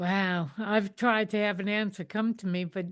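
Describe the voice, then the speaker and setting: Against a quiet background, a woman speaks in an unremarkable speaking voice at medium pitch and a fairly slow pace, with fairly even intonation. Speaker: podcast host. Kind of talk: podcast interview.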